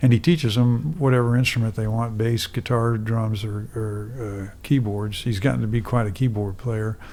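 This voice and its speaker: An unremarkable speaking voice with an American accent moves at a moderate pace with fairly even intonation and hardly any pauses. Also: man, medium pitch for a man. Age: 60s. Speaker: musician. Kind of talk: casual chat. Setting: studio.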